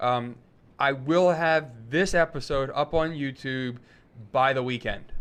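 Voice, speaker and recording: A man with a plain, everyday voice, fairly high in pitch, with ordinary pitch variation and a quiet background. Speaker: podcast host. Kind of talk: casual chat. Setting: live show.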